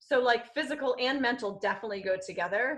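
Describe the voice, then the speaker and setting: Bright and sharp in tone, a woman with a fairly high pitch talks at a fairly quick pace in an animated way with lively intonation. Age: 30s. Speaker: speech-language pathologist. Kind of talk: podcast interview. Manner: fast when excited.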